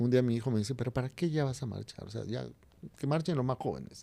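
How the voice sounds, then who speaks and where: With lively intonation, a man talks in a medium pitch and a dark, mellow tone. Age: 50s. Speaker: writer and journalist. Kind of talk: interview conversation.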